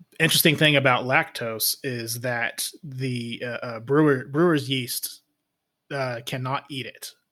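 A man at medium pitch with a bright, sharp tone, fairly even intonation and big swings in loudness, at a fairly slow pace. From Austin, Texas. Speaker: podcast co-host, father. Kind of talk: casual chat. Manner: halting.

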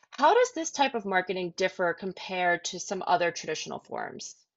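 A normal speaking voice, a woman at medium pitch with lively intonation and a fairly quick pace. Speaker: podcast co-host. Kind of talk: podcast interview.

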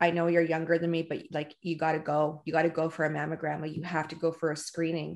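At a fairly quick pace, a woman talks with vocal fry in a very deep, low pitch, her intonation monotone and flat against a quiet background. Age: 40s. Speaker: podcast host and salon owner. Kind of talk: casual interview. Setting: video call.

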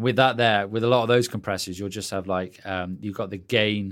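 Fairly quick speech in a British accent, with fairly even intonation, on a very clean recording with a silent background. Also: man. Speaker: podcast host, music producer and mastering engineer. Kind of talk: casual interview and tutorial chat.

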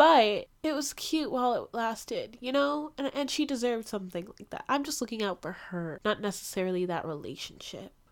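A high-pitched woman at a fairly quick pace with lively intonation, very clean recording and silent background. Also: big swings in loudness. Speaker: podcast host reviewing TV shows. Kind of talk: casual solo commentary. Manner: animated, loud at times.

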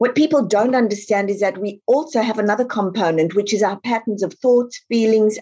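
The voice has a dark, mellow tone and a South African accent. Its pace is moderate. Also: woman. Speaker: author. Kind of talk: interview.

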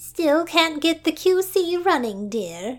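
Using a put-on character voice, a woman speaks in an extremely high, squeaky pitch with lively intonation at a very slow pace. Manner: sympathetic.

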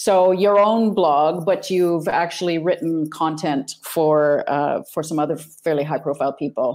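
A woman with an unremarkable speaking voice and a fairly low pitch talks at a fairly slow pace with ordinary pitch variation and hardly any pauses, in a very clean recording with a silent background. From Canada. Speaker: podcast host, publisher. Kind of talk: casual interview.

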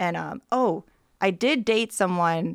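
An ordinary speaking voice with an American accent moves at a fairly slow pace with ordinary pitch variation. The recording is very clean, and the background is silent. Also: woman. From Michigan, Clarkston. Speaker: photographer. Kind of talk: casual chat. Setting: in-person at host's home.

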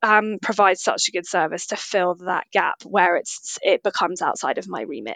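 Dry and close with no echo, a woman's voice in a British accent plays over a quiet background. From UK. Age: 30s. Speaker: nutritional therapist. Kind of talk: interview.

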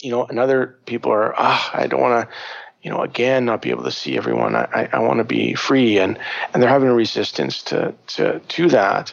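Noticeable background noise accompanies the man's fairly quick delivery. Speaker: psychotherapist and shamanism teacher. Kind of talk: interview conversation. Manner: halting, many repetitions and fillers; natural, unaffected.

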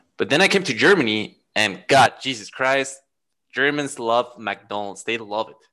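A man with a Spanish accent, medium pitch, bright and sharp in tone, lively in intonation, at a moderate pace with big swings in loudness. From Mexico. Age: 30s. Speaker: podcast guest. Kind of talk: casual chat. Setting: video call.

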